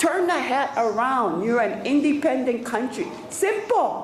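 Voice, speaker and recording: Amid noticeable background noise and audible room echo, a woman speaks at a fairly slow pace in a high pitch with very wide pitch swings. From Hawaii, Waimanalo (Oahu). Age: 60s. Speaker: independence activist giving public testimony. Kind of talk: public testimony. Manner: impassioned.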